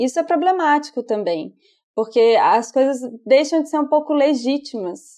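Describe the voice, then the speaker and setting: Her voice is high-pitched with a dark, mellow tone. The woman speaks at a moderate pace with lively intonation. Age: 30s. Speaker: psychologist podcast host. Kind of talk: casual chat.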